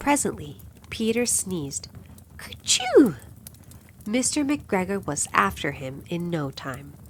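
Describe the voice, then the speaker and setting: A woman's fairly low, fry-laden voice at a very slow pace, with very wide pitch swings and long, frequent pauses. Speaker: narrator. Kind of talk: bedtime story reading. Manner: relaxed, calm.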